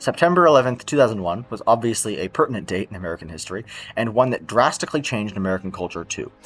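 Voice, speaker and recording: Very fast and with lively intonation, a man talks. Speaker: video essayist. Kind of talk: scripted narration.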